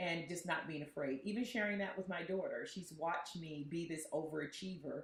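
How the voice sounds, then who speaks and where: A woman speaks at a fairly quick pace in an unremarkable speaking voice. Her pitch is fairly low, with ordinary pitch variation. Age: 60s. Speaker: city council member and former teacher. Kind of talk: interview conversation.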